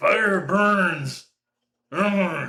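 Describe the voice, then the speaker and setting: A man puts on a character voice. He speaks at a high pitch. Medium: actual play. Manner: grunting, simple-minded.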